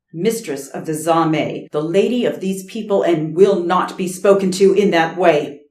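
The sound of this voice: With ordinary shifts in pitch, the speaker reads in an unforced voice.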